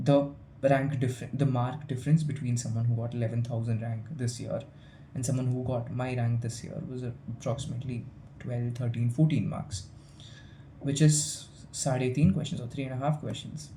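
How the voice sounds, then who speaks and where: A man talks at a moderate pace in a medium pitch. Room echo is audible. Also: fairly even intonation. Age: young. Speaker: student vlogger. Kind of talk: casual vlog monologue. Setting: hostel room. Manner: halting, with fillers and repetitions.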